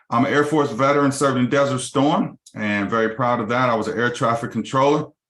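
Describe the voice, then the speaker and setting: A normal speaking voice in an American accent, with ordinary pitch variation, a fairly quick pace and a quiet background. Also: man. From Los Angeles, California. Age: 50s. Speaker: mortgage company CEO. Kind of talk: business webinar presentation.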